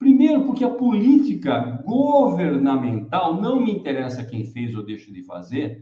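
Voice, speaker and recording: The voice has a dark, mellow tone and moves in very wide pitch swings. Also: man. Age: 70s. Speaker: electric mobility channel host. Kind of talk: live stream talk. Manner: casual, conversational.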